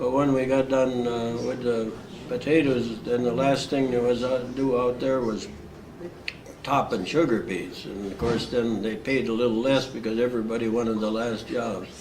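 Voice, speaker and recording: At a moderate pace and medium pitch, a man speaks with fairly even intonation, with audible room echo and noticeable background noise. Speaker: war veteran. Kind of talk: oral history interview. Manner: halting, frequent uh fillers.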